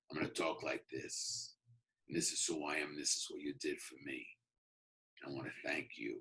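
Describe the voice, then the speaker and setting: A man in a put-on character voice sounds gravelly, talking at a moderate pace with long, frequent pauses. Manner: gruff, grateful-sounding.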